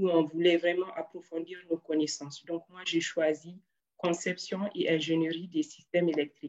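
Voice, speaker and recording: This woman's voice sits fairly low in pitch, with fairly even intonation and a moderate pace. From Niger (Arlit). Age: 20s. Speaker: engineer. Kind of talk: interview. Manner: hesitant, many fillers.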